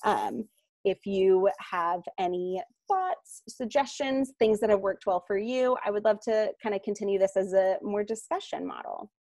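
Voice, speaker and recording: A woman in a normal speaking voice, medium pitch, moderate pace and ordinary pitch variation. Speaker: nonprofit program manager. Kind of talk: presentation.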